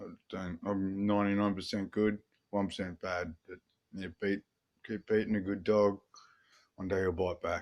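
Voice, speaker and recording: A man with an Australian accent speaks in a fairly low pitch with monotone, flat intonation and long, frequent pauses. The sound is dry and close, with no echo. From Australia, rural. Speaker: vlogger on meditation and spirituality. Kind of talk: casual monologue vlog. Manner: fast; rambling, hesitant with fillers.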